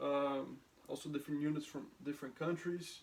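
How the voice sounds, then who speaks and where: A man with a non-native accent speaks at a moderate pace and a fairly high pitch. His intonation is monotone and flat. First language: not English. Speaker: soldier. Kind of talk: lecture. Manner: halting.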